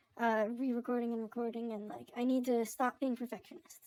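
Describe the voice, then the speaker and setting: Speaking at a fairly quick pace, a woman uses a high-pitched voice. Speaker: vtuber. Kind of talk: vlog monologue. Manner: casual, filler-heavy.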